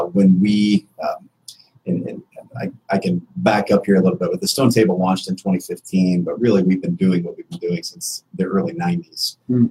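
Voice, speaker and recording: Moderately paced speech from a man with an American accent, the sound dry and close with no echo. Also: big swings in loudness. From Indianapolis, US Midwest. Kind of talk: casual interview. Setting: radio studio.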